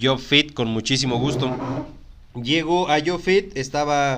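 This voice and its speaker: The speaker uses ordinary pitch variation with a Mexican accent. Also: man. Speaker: podcast host, human resources professional. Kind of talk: casual chat.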